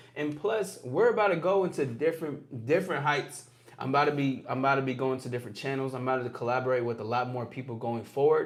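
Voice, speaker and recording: Speech races at a very fast pace with hardly any pauses and ordinary pitch variation, while noticeable background noise runs underneath. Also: man, medium pitch for a man. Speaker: livestream host. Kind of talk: casual livestream talk.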